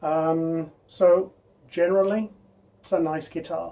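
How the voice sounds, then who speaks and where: A man speaks with fairly even intonation at a fairly high pitch, his tone dark and mellow. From English Midlands, Birmingham area. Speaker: guitar reviewer. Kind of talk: product review. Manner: casual, hesitant with many fillers.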